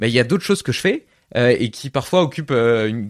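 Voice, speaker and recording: Against a quiet background, a man with a plain, everyday voice talks at a fairly quick pace with lively intonation. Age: 30s. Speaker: podcast host. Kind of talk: interview.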